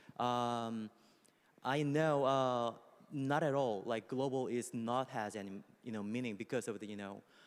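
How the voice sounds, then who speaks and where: The speaker has a Korean accent and a fairly slow pace with ordinary pitch variation. The recording is very clean, with a silent background. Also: man, medium pitch for a man. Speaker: music company executive. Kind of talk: panel discussion. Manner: halting, with many fillers.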